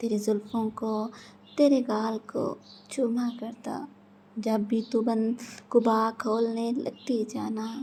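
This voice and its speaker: A woman speaks at a fairly high pitch with a dark, mellow tone and monotone, flat intonation. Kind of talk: poetry reading. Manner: emotional, romantic.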